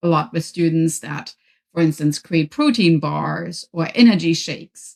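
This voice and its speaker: A woman's fairly low-pitched voice moves along at a moderate pace. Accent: German. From Germany. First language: German. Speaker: professor and author. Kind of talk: podcast interview.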